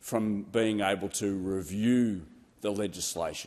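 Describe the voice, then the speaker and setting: This man has an Australian accent. He talks at a fairly slow pace. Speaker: politician. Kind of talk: parliamentary speech. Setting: parliament chamber. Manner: halting.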